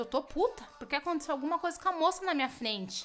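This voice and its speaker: A woman talks at a very fast pace in a raised, projected voice with very wide pitch swings. Her tone is animated, bright and sharp. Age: 30s. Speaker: comedian podcast host. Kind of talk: casual comedic monologue. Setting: at home.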